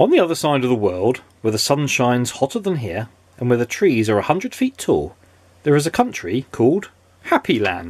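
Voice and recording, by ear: Someone reads a text aloud. The delivery is natural.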